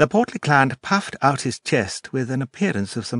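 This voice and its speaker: A British accent with very wide pitch swings at a moderate pace, dry and close with no echo, over a quiet background. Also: man. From Britain. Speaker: stage actor. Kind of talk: audiobook narration. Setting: studio.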